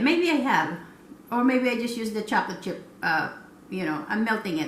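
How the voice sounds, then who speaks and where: A woman with a high pitch, very wide pitch swings and a fairly quick pace, with noticeable background noise and audible room echo. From Philippines. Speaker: cooking vlogger. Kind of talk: cooking tutorial. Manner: halting, many fillers.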